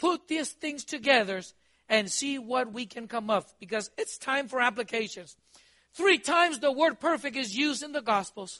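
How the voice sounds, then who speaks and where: A man's extremely high-pitched voice comes out raised and projected, bright and sharp in tone and animated, with a dry, close sound and no echo. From Costa Rica. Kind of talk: sermon. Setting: church. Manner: animated, exhortative preaching with call-and-response questions.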